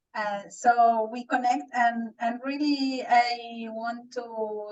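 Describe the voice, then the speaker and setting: A very slow pace, ordinary pitch variation, and a Spanish accent. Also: woman. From Argentina, Buenos Aires. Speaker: transformation coach. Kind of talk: casual self-introduction. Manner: halting.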